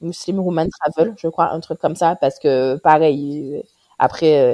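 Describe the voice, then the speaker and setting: Her fairly low pitch and fairly even intonation carry this woman's speech at a fairly slow pace. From Guadeloupe. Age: 30s. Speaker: pediatrician. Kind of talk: casual interview. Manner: hesitant, many fillers.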